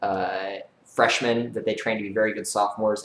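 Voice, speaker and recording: A man speaks at a medium pitch with an American accent. Noticeable background noise can be heard. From US Midwest, Kansas. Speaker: YouTuber and rocket engineer. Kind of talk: live stream Q&A. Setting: home live stream. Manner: fast; animated.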